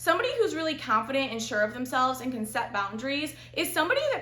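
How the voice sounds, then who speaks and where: Loud and very fast, a woman speaks in a high pitch with a bubbly, animated tone against audible room echo. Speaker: lifestyle vlogger. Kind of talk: casual advice monologue.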